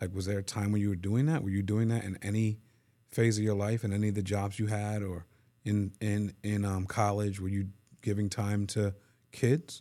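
Fairly low in pitch and dark and mellow in tone, a man speaks at a moderate pace with fairly even intonation. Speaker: podcast host. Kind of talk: casual interview with wife. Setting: studio. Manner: warm, encouraging.

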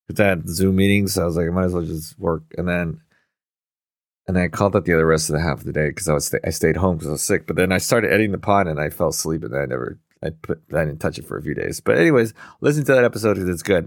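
Speaking very fast, a man uses a very deep, low pitch with ordinary pitch variation. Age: 30s. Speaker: podcast co-host. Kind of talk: casual chat. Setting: video call.

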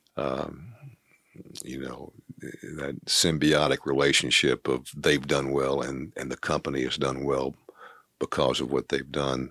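With a very deep, low pitch and a touch of vocal fry, a man talks at a fairly slow pace in a flat monotone, leaving long, frequent pauses. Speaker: retiring company CEO. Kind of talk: interview.

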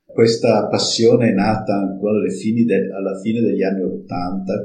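With music in the background, a man speaks fairly slowly. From Friuli, northeastern Italy. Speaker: cooperative president, engineer. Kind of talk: interview, personal account. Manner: halting, with fillers.

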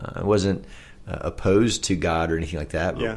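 Speaking in an American accent, a man uses a very deep, low pitch, vocal fry and lively intonation at a moderate pace. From Oklahoma, US. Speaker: camp executive director. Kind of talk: casual interview, sharing personal testimony.

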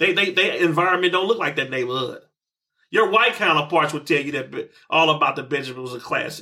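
A man talking at a very fast pace, fairly high in pitch for a man, with a bright, sharp tone. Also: ordinary pitch variation. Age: 40s. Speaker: hip hop podcast host. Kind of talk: casual chat. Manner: halting, many fillers.

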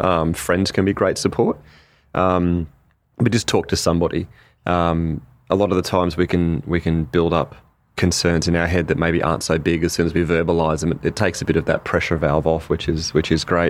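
A man's very deep, low voice with an Australian accent, fairly even intonation and a fairly quick pace, in a very clean recording with a silent background. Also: very even loudness. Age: 40s. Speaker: youth mental health service manager. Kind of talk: interview. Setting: outdoors in a park. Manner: hesitant, many fillers and repeated words.

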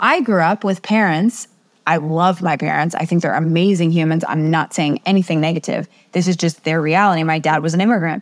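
A woman's unremarkable speaking voice, fairly low in pitch, with an American accent, ordinary pitch variation and very even loudness, on a very clean recording with a silent background. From US East Coast. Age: 40s. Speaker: communication coach and professor. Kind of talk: interview.

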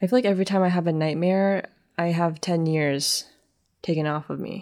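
A dark, mellow tone comes at a moderate pace. Intonation stays fairly even. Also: woman. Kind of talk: solo podcast monologue. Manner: hesitant, fills speech with like and um.

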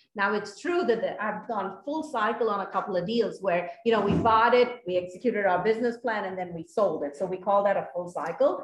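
A woman of medium pitch talks at a fairly quick pace with hardly any pauses and ordinary pitch variation, over noticeable background noise. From India. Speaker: apartment investor, former engineer. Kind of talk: interview.

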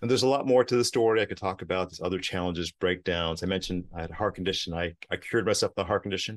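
A man with an American accent and a very deep, low pitch talks at a very fast pace with hardly any pauses and ordinary pitch variation, against a quiet background. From New York, Queens. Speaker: peak performance coach. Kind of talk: interview. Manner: halting.

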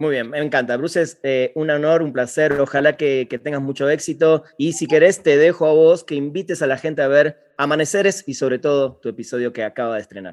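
The speaker moves at a fairly quick pace with hardly any pauses and ordinary pitch variation. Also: man, fairly high pitch for a man. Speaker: podcast host. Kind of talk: interview. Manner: voseo, casual.

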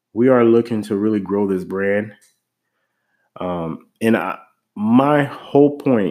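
In a very clean recording with a silent background, a man speaks at a medium pitch with a dark, mellow tone. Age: 30s. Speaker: podcast host and real estate investor. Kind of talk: solo monologue podcast.

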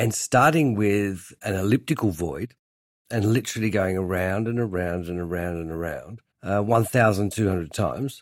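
A man with a fairly low pitch and an Australian accent, at a moderate pace with ordinary pitch variation, on a very clean recording with a silent background. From Tasmania, Australia (Hobart). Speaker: furniture designer. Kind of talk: interview.

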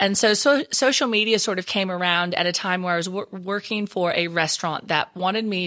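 In a strong Texan accent, a woman talks at a fairly quick pace with a medium pitch, ordinary pitch variation and a bright, sharp tone. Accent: Texan, still strong. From Texas. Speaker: social media trainer and speaker. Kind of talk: interview, expert talk.

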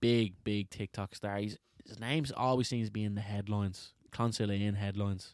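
In a Dublin accent, a man speaks at a fairly quick pace with fairly low pitch and fairly even intonation, on a very clean recording with a silent background. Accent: Dublin Irish. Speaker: podcast host, amateur football team player. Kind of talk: casual banter. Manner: silly, joking.

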